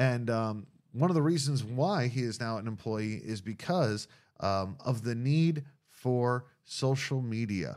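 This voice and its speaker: In a very clean recording with a silent background, a man with an ordinary speaking voice talks at a fairly slow pace and a medium pitch, with ordinary pitch variation. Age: young. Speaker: pastor. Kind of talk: casual interview. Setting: studio with two mics.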